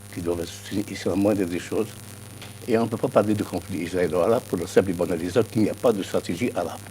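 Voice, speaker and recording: With music playing in the background, a man speaks at a fairly quick pace with ordinary pitch variation. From Algeria. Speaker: political science professor. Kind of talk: TV news interview.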